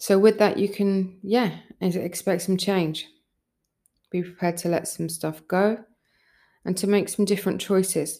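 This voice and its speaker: A woman at a medium pitch speaks in a relaxed, dark, mellow tone with monotone, flat intonation. Her moderate pace is broken by long, frequent pauses in a very clean recording with a silent background. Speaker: spiritual channeler and podcast host. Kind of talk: channeled spiritual guidance monologue. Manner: relaxed, with frequent yawns.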